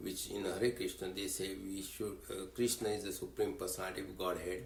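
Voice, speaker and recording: A man's fairly low, somewhat breathy voice at a fairly quick pace with fairly even intonation and audible room echo. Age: 80s+. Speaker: religious community leader. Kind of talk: interview. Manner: halting.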